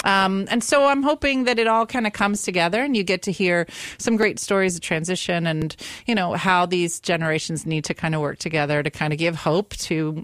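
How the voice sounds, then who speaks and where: An ordinary speaking voice with lively intonation and very even loudness moves at a fairly quick pace, with a dry, close sound and no echo. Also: woman, fairly low pitch for a woman. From US, Italian-American family. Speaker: stand-up comedian. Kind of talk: casual chat. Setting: studio.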